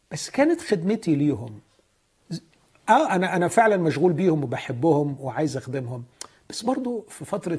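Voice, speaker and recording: With lively intonation and a somewhat breathy quality, a man talks at a moderate pace. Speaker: pastor. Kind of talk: religious teaching.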